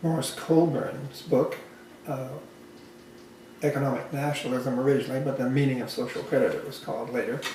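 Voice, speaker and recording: A man with a Western Canadian accent and fairly high pitch talks at a moderate pace amid noticeable background noise and audible room echo. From Canada, Alberta. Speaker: social credit advocate. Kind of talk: casual chat. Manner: halting.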